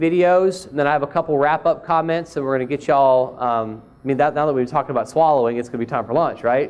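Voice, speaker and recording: Here a man talks with a Southern US accent. His fairly high pitch shows ordinary pitch variation. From Mississippi. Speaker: speech pathologist. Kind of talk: conference talk.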